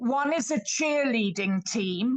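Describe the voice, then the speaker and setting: At a very slow pace, a woman with a British accent speaks in a fairly high voice with ordinary pitch variation. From Britain. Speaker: participant in live online lecture. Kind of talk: audience contribution in live online lecture. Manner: hesitant, with fillers.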